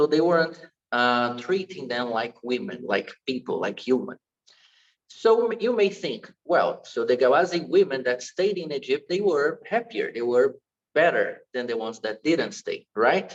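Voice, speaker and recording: With a Portuguese accent, a man speaks at a fairly slow pace. His fairly high pitch moves in very wide swings. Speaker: dance teacher. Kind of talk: online lecture. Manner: halting.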